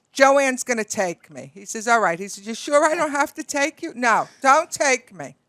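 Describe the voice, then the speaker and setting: Projecting a raised voice with a Brooklyn accent, a woman speaks at a moderate pace in a high pitch, her bright, sharp tone and lively intonation caught dry and close with no echo on a very clean recording against a silent background. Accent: Brooklyn New York. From Brooklyn, New York. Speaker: beauty industry broker. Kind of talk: casual storytelling. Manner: animated.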